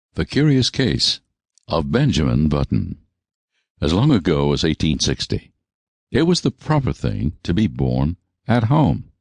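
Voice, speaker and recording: Very wide pitch swings and vocal fry at very even loudness, at a fairly slow pace with long, frequent pauses, in a dry, close sound with no echo. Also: man, very deep, low pitch for a man. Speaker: audiobook narrator. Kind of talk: audiobook narration.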